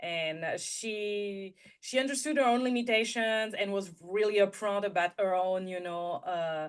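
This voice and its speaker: A woman with a French accent at a fairly slow pace, medium in pitch with ordinary variation and hardly any pauses. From France. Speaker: intuitive guide and content strategist. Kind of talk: interview.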